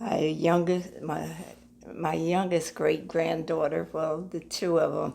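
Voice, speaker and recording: A woman with an American accent, fairly low pitch and vocal fry, at a very slow pace with fairly even intonation. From US Northeast, New Jersey. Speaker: church member. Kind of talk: interview. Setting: at her apartment. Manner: halting.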